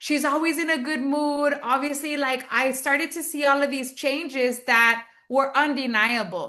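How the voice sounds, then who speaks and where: In a raised, projected voice, a woman speaks in a high pitch with a bright, sharp tone, fairly even intonation, a moderate pace and hardly any pauses, against a quiet background. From US South, Texas, McAllen border region. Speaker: network marketing entrepreneur. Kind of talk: interview.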